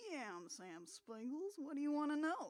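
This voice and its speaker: In a New Jersey accent, a put-on character voice speaks at a high pitch and a moderate pace with very wide pitch swings. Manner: deliberately menacing, exaggerated.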